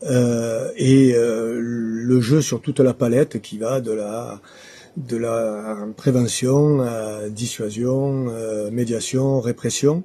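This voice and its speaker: Speaking very slowly, a man with a medium pitch and a dark, mellow tone keeps his intonation fairly even. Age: 60s. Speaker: local election candidate. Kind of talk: interview. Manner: hesitant, many filler sounds.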